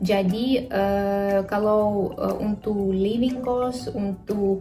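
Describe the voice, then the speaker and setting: With music in the background, a woman at medium pitch speaks with a Russian accent and fairly even intonation. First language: Russian (speaking Indonesian). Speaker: vlogger and graduate student. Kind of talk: vlog talk to camera. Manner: halting, many fillers.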